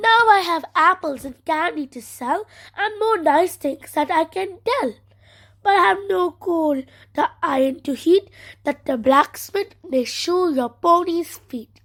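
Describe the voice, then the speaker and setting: At an extremely high pitch, a woman uses a put-on character voice at a fairly slow pace. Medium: read story.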